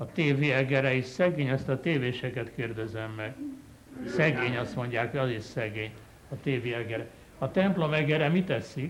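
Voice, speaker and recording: At a moderate pace, a man of medium pitch speaks with ordinary pitch variation. Room echo is audible, and background noise is noticeable. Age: 70s. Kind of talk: sermon. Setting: chapel. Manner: animated.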